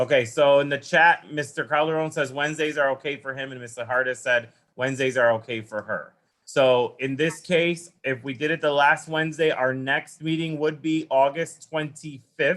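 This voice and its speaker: Speaking in an unremarkable speaking voice, a man with a fairly high pitch keeps a moderate pace and fairly even intonation. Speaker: school council meeting chair. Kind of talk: formal meeting.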